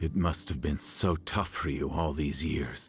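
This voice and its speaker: Over music in the background, a man does a growling, put-on character voice at a very deep, low pitch. His pace is moderate, his intonation fairly even and his loudness very even. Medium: video game. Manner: gentle, regretful.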